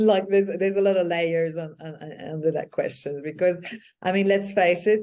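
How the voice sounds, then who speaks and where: A woman with a medium pitch and a dark, mellow tone talks at a fairly quick pace. Her intonation stays fairly even, but her loudness swings widely. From Quebec, Canada. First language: French. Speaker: spiritual business mentor. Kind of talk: interview.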